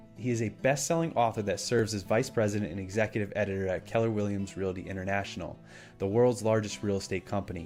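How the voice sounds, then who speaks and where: Over music in the background, a man speaks very fast at a fairly low pitch with ordinary pitch variation. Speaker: podcast host. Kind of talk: podcast intro read.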